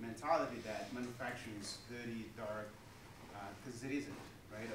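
Room echo is audible and background noise noticeable. A man speaks at a moderate speed. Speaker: manufacturing company leader on a panel. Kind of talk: panel discussion answer. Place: hall. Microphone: camera far.

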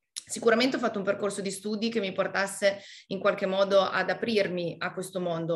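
A woman's medium-pitched voice at a very fast pace, monotone and flat in intonation, over a quiet background. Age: 30s. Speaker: motorsport team coordinator; panelist. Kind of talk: webinar interview. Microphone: video call.

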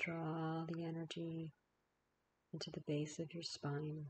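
Somewhat breathy and fairly low in pitch, a woman talks in a flat monotone. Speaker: naturopathic physician and yoga teacher. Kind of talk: slow guided healing meditation with breath cues and imagery. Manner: repetitive lulling cadence with hesitations like um, uh.

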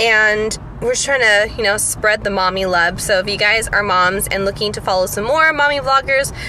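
A woman talks at a moderate pace with hardly any pauses and ordinary pitch variation, in a dry sound with no echo over light background noise. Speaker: vlogger. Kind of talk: casual vlog chat. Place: car. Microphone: phone near.

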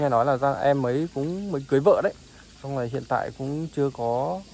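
The man's voice has a dry sound with no echo. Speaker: village life vlogger. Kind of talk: casual vlog chat. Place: open country. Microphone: phone near.

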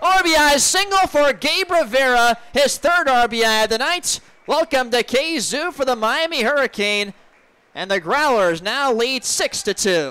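A man's raised, projected voice at an extremely high pitch with lively intonation. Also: moderate pace. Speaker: baseball radio play-by-play announcer. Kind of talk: radio sports play-by-play. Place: booth.

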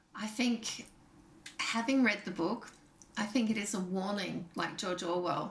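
A woman talks at a fairly slow pace in an Australian accent. Her intonation is lively. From Tasmania, Australia (Hobart). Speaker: interviewer, magazine host. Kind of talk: interview. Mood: friendly, engaged. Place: home room.

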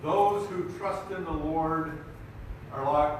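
Against noticeable background noise and strong room echo, a man speaks at a very slow pace with ordinary pitch variation. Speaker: preacher. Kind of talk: sermon. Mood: warm, light-hearted. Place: hall.

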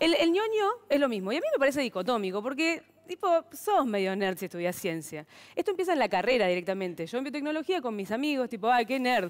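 A woman talks at a fairly quick pace with very wide pitch swings. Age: 30s. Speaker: stand-up comedian and biotechnologist. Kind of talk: stand-up comedy. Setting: TV studio with audience. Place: stage. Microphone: headset.

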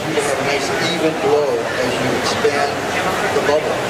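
Loud background noise fills the recording. The talking moves at a moderate speed. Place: hall. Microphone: pa.

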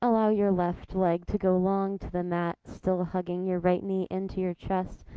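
A woman's dark, mellow voice with monotone, flat intonation at a moderate pace, dry with no echo over a quiet background. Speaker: yoga instructor. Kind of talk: guided yoga instruction. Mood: calm, soothing. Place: hall.

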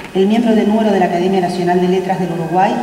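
A woman speaks with fairly even intonation. Audible room echo and light background noise surround her voice. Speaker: ceremony announcer. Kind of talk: formal announcement. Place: hall. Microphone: podium.

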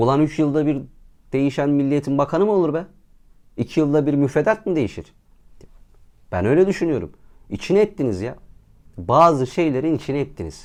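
A fairly high-pitched man speaks at a fairly quick pace with long, frequent pauses. His tone is animated and his intonation lively. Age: 20s. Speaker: YouTuber. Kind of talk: vlog monologue.

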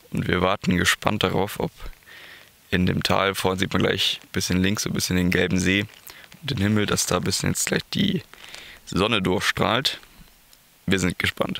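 Speaking with a low pitch, vocal fry, and a bright, sharp tone, a man uses ordinary pitch variation and takes long, frequent pauses. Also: moderate pace.

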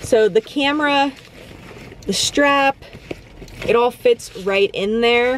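Light background noise sits under a woman speaking at a very slow pace with ordinary pitch variation, the sound dry with no echo. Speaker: vlogger. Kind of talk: casual vlog chat. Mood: cheerful, chatty. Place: car. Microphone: phone near.

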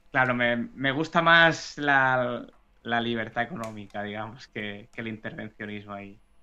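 A man's bright, sharp voice at a fairly slow pace, with big swings in loudness, over a quiet background. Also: medium pitch for a man, ordinary pitch variation. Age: 20s. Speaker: economics teacher and investment educator. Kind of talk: interview.

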